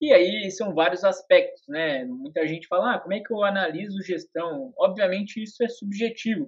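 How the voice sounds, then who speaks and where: A man with a high voice whose pitch swings very widely. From Brazil, interior of São Paulo state. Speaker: investment YouTuber, real estate fund specialist. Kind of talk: interview. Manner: hesitant, many fillers.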